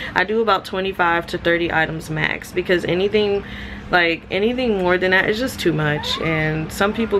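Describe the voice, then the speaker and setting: A woman with a fairly low voice talks at a moderate speed, her intonation fairly even, while noticeable background noise runs underneath. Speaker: vlogger, gig worker. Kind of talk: casual vlog talk to camera. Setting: at home on couch. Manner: hesitant with many ums.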